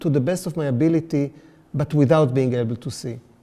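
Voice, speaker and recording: A man with an Israeli accent speaks in a dark, mellow tone. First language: Hebrew. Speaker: artist. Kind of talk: artist talk. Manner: halting, many fillers.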